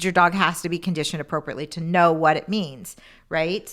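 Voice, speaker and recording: On a very clean recording with a silent background, a woman speaks loudly in a bright, sharp tone at a fairly low pitch. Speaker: dog trainer. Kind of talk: casual chat.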